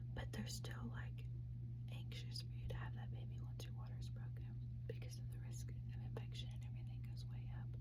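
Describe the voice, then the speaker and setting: A woman speaks in a flat monotone with a very deep, low pitch at a fairly quick pace. Her loudness stays very even, and background noise is noticeable. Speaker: mother of four, ASMR creator. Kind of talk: whispered ASMR storytime. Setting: home, recorded to camera. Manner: whispered, soft.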